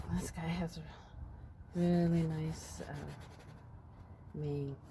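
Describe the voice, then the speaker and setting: Mumbling at a very slow pace, a woman speaks with a very deep, low pitch and monotone, flat intonation, amid noticeable background noise and audible room echo. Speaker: painter. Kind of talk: painting tutorial. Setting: outdoors. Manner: halting.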